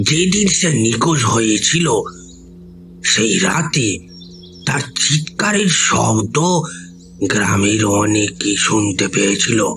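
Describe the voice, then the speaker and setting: Clear music plays behind a man doing a put-on character voice at medium pitch and a very slow pace. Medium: audio drama. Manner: rustic, earnest storytelling.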